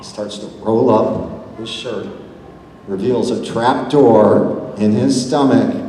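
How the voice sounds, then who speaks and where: A man speaks in an animated tone, with noticeable background noise and audible room echo. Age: 60s. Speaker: actor at fan convention panel. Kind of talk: convention panel talk. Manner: animated storytelling.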